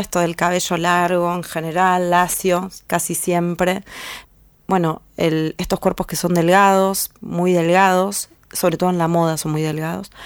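A woman talks at a fairly slow pace in a fairly low pitch with flat, monotone intonation. The recording is very clean, with a silent background. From Argentina, northern Buenos Aires province. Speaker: feminist artist and blogger. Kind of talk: interview. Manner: halting, many fillers.

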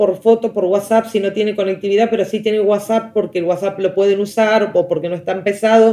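A woman speaks with an Argentine accent at a fairly quick pace, hardly pausing at all. Her pitch is fairly high and her intonation fairly even. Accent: Rioplatense Argentine Spanish. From Argentina, La Plata. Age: 30s. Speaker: teacher and education specialist. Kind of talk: interview. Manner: hesitant, with many fillers.

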